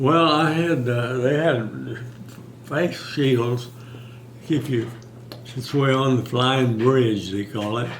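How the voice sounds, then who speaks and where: A man speaks at a medium pitch with ordinary pitch variation, very slowly, with long, frequent pauses. There is noticeable background noise and audible room echo. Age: 90s. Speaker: war veteran. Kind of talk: oral history interview. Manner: halting.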